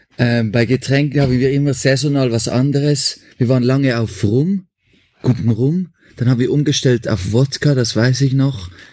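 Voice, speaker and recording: At a moderate pace, a man speaks in a dark, mellow tone at medium pitch, with ordinary pitch variation and very even loudness. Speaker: musician. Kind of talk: interview. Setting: remote call.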